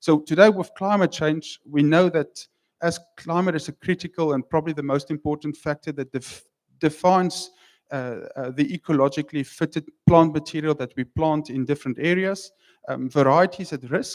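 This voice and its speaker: A man with a South African accent talks at a moderate pace in a fairly high pitch with ordinary pitch variation. The recording is very clean, dry and close, with a silent background and no echo. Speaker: wine researcher. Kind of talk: conference talk. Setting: stage with audience. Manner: halting.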